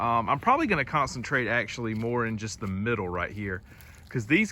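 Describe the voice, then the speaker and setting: The speaker has a Southern US accent and a bright, sharp tone. The pace is fairly quick, with ordinary pitch variation. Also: man. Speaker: homesteading vlogger. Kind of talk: casual vlog narration. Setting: outdoors in woods. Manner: loud.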